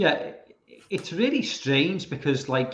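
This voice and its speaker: With a Liverpool accent, this man speaks at a fairly high pitch. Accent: Liverpool (Scouse) English. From England, Liverpool. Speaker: horror film fan guest. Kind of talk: casual chat. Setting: live stream call.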